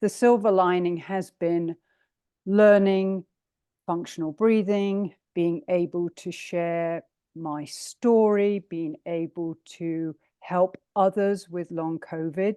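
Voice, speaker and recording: Speaking very slowly with an English accent, a woman with a fairly low pitch and a dark, mellow tone keeps a fairly even intonation, heard dry and close with no echo over a quiet background. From England. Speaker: breathing coach, long covid sufferer. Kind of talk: online presentation. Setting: video call.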